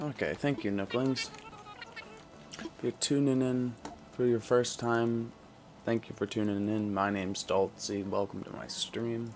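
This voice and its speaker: A man speaks at a fairly slow pace with fairly even intonation. Long, frequent pauses break up his speech over noticeable background noise. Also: medium pitch for a man. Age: 20s. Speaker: game streamer. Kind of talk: casual chat. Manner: subdued, lower energy than usual.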